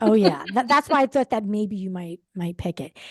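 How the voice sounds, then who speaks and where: Lively intonation carries an American accent over a quiet background. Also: woman. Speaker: book talk show co-host. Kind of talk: casual chat. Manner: halting.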